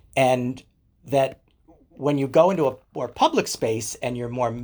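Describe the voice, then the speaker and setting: In a plain, everyday voice, a man speaks at a medium pitch with ordinary variation. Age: 60s. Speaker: leather community educator and writer. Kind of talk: casual interview chat.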